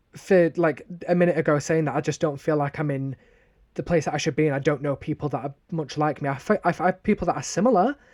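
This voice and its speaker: Captured in a dry, close sound with no echo on a very clean recording with a silent background, a man talks at a very fast pace. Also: fairly high pitch for a man, ordinary pitch variation. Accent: northern English. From northern England, Sheffield. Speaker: podcast co-host. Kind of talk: casual chat. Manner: animated.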